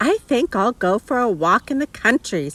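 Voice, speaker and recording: A woman's put-on character voice, fairly high-pitched, with very wide pitch swings, very even loudness and a moderate pace. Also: dry, close sound with no echo. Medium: read story. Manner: calling out like a street hawker.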